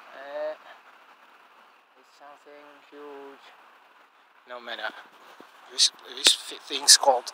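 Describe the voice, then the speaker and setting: At a very slow pace, the speech moves with long, frequent pauses and big swings in loudness, in a dry sound with no echo but noticeable background noise. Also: man. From Russia, Engels. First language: Russian. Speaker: amateur vlogger. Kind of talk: casual vlog narration walking at night. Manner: hesitant, halting non-native English. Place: street. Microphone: phone near.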